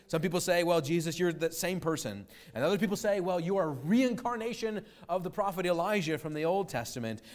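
At a fairly quick pace, a man speaks with lively intonation in a high pitch. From United States. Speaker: pastor. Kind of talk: sermon. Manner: halting.

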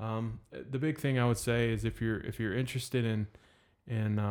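A man with an American accent speaks at a moderate pace. His intonation stays monotone and flat. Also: very clean recording, silent background. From North Carolina. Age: 30s. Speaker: float spa owner, air force veteran. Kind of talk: casual interview.

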